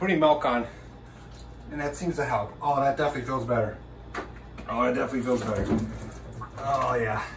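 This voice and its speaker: Over noticeable background noise, a man rushes along at a very fast pace with ordinary pitch variation. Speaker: self-filming vlogger. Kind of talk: casual vlog chat. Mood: in pain, strained.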